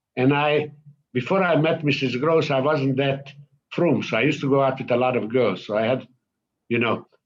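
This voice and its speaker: A man with a Hungarian accent talks at a moderate pace and medium pitch, with ordinary pitch variation and very even loudness. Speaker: Holocaust survivor. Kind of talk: testimony. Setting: synagogue event. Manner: halting.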